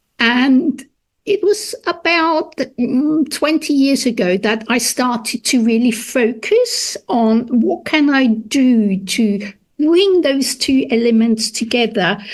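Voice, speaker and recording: With a German accent, a woman speaks at a very slow pace in a high pitch. Her intonation is lively and her loudness very even. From Austria. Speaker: food historian. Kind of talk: interview.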